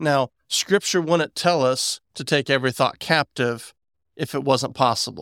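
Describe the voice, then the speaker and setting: An unremarkable speaking voice with an American accent moves at a fairly slow pace with ordinary pitch variation, its sound dry and close with no echo in a very clean recording with a silent background. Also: man, fairly high pitch for a man. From West Virginia. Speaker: podcast host. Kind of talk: casual chat.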